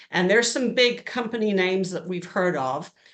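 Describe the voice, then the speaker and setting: The woman speaks at a medium pitch with ordinary pitch variation, and audible room echo can be heard. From England. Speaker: insurance broker. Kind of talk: presentation. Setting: evening education session.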